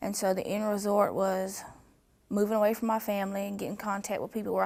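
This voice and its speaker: The speaker talks at a very fast pace in a Southern US accent. The intonation stays monotone and flat. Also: woman. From US South. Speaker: trafficking survivor. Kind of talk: testimony. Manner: halting.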